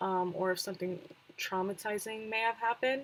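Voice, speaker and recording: A woman talks at a medium pitch. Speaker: streamer giving game tips. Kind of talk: livestream tutorial talk. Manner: casual with many fillers.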